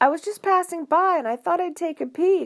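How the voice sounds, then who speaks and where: A woman puts on a squeaky character voice at an extremely high pitch, with ordinary pitch variation. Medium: read story. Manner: nervous, stammering.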